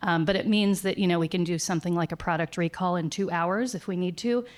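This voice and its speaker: Fairly low in pitch, a woman's voice moves at a very fast pace with fairly even intonation. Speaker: winery marketing executive, conference panelist. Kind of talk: conference panel presentation.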